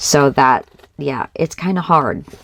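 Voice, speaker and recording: Over noticeable background noise, a woman speaks at a very deep, low pitch with ordinary pitch variation. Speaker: crafting channel host. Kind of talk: craft tutorial. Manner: loud.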